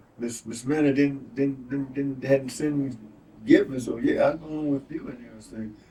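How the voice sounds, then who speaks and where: This is a man talking. He speaks with an Atlanta accent. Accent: Southern US (Atlanta). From Southwest Atlanta. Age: 80s+. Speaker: former Negro Leagues baseball player. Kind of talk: interview answer.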